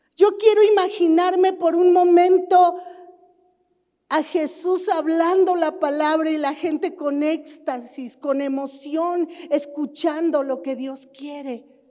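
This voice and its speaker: Very slow and in a dark, mellow tone, a woman speaks at an extremely high pitch with ordinary pitch variation. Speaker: pastor. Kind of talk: sermon.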